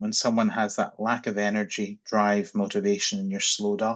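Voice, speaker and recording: A man speaks with a Scottish accent. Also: quiet background. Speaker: psychiatry researcher. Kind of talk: panel discussion. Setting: video call.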